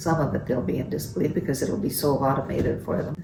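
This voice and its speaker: A woman's voice comes through with audible room echo. Noticeable background noise is also present. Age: 70s. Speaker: grandmother. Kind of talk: family interview.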